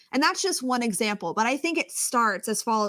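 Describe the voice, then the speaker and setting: A woman speaks loudly in a fairly high pitch. Her tone is animated, bright and sharp. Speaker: communications coach. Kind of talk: interview.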